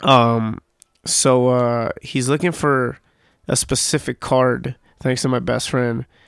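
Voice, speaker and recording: The speech comes at a very slow pace with fairly even intonation. The recording is very clean with a silent background, dry and close with no echo. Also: man, medium pitch for a man. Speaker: podcaster. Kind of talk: casual monologue. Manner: halting.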